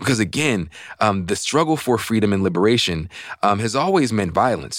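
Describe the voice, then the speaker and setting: On a very clean recording with a silent background, a man speaks fairly quickly in a fairly low pitch with lively intonation. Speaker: journalist. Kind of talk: interview. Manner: halting, many fillers.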